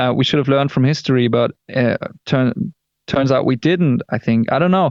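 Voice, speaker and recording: With a German accent, a man talks at a moderate pace and medium pitch, with ordinary pitch variation, very even loudness and a dry, close sound with no echo. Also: quiet background. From Germany. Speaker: rock band singer. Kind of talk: interview. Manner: halting.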